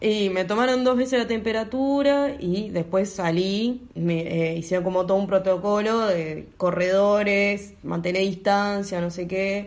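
Audible room echo surrounds a woman speaking at a medium pitch. She talks at a fairly slow pace with ordinary pitch variation. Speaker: photographer and medical student. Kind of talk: interview.

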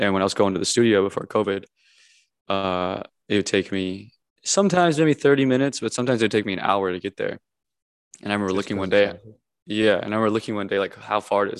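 In a dry, close recording with no echo and a quiet background, a man with an American accent talks at a very fast pace, his fairly low voice showing ordinary pitch variation. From Minnesota.

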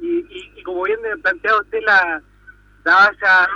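Projecting his raised voice at a moderate pace, a man swings his pitch very widely in a dry, close recording with no echo. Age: 40s. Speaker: radio listener caller. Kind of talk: phone-in chat.

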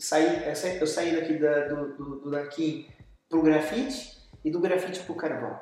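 With audible room echo, a man speaks in a Brazilian accent at a high pitch for a man, with ordinary pitch variation. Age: 40s. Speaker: visual artist. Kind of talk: interview. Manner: halting.

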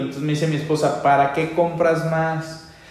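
A man talks at a fairly high pitch. Noticeable background noise and audible room echo come through. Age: 30s. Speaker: radio host and financial coach. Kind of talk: radio call-in advice show. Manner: animated.

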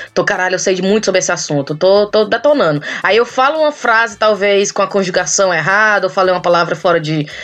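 A woman talks at a very fast pace with hardly any pauses, her animated tone at medium pitch with ordinary pitch variation. Her loudness stays very even against noticeable background noise. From Ceará, Brazil. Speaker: podcaster living abroad. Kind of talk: casual chat.

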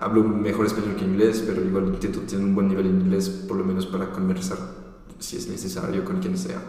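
Noticeable background noise runs under a man's voice. Audible room echo surrounds him. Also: fairly quick pace. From Belgium and France, part childhood in Costa Rica. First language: French (speaking Spanish). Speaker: traveller and volunteer project founder. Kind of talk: interview.

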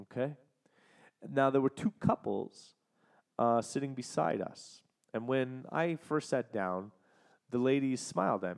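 At a fairly slow pace and medium pitch, a man talks with long, frequent pauses in a dry, close sound with no echo. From Canada. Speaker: podcast host. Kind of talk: solo monologue recounting travel. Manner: casual, with fillers and restarts.

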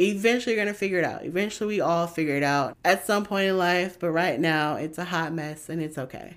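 A woman speaks in an animated tone at a very fast pace. She hardly pauses at all. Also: fairly low pitch for a woman, ordinary pitch variation, very clean recording, silent background. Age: 20s. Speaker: podcast host and blogger. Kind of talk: casual solo podcast monologue.

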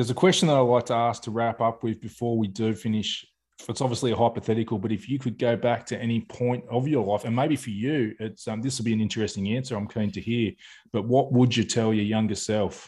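Very fast in pace, a man talks with fairly even intonation. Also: medium pitch for a man, quiet background. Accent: Australian. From Australia. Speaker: podcast host. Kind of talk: casual interview chat.

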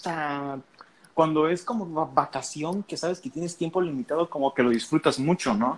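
An ordinary speaking voice: a man at a fairly high pitch and moderate pace, with ordinary pitch variation and a dry, close sound with no echo. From Mexico, Veracruz. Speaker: podcast co-host, student. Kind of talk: casual chat.

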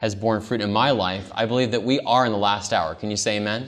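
Audible room echo frames a man speaking at a fairly quick pace. His voice is fairly low and warm in tone, with fairly even intonation. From California, US. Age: 30s. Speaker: pastor. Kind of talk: camp-meeting seminar sermon with personal testimony, calling for amens. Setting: camp meeting with live congregation. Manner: earnest, warm, conversational with frequent um and uh fillers.

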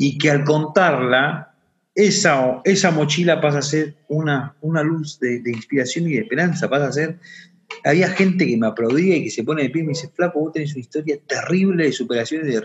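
Its pitch varies in an ordinary way. Somewhat breathy, this voice keeps a fairly quick pace. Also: man, fairly high pitch for a man. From Argentina, Buenos Aires area. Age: 30s. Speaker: social entrepreneur. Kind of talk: interview testimony.

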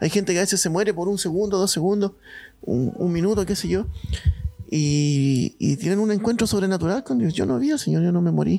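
Speaking at a fairly quick pace, a man with a high voice uses lively intonation while keeping his loudness very even. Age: 30s. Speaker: mission base director. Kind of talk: testimony.

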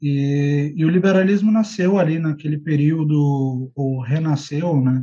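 A man's fairly high, somewhat breathy voice with a dark, mellow tone and ordinary pitch variation. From Brazil, Rio Grande do Sul and Ceará. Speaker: political writer and editor. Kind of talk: interview.

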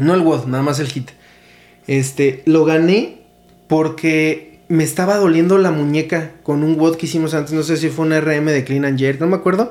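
Over noticeable background noise, a man with a Mexican accent speaks at a fairly high pitch. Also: moderate pace. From Mexico, Morelia. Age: 20s. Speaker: podcast host and CrossFit coach. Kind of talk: casual chat.

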